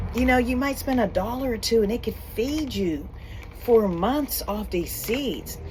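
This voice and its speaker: A woman's fairly high voice at a fairly slow pace, with ordinary pitch variation, audible room echo and noticeable background noise. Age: 50s. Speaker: homesteader and church co-founder. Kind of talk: casual vlog talk to camera. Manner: hesitant, many fillers.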